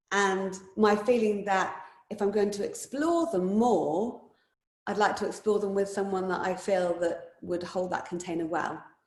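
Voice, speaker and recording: Fairly slow and medium-pitched, a woman speaks. Audible room echo surrounds her voice. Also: ordinary pitch variation. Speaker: yoga teacher. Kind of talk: casual chat.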